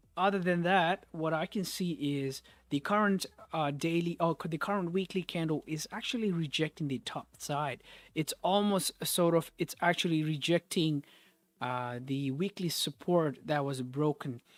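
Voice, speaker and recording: The speaker keeps a moderate pace. The recording is very clean, with a silent background. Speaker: forex trading streamer. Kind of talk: live trading analysis stream. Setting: live stream. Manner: mumbling; casual, repetitive.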